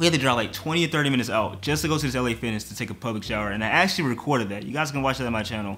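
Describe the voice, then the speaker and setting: A man at a very fast pace with hardly any pauses and lively intonation. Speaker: reaction youtuber. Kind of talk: casual vlog chat. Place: home room.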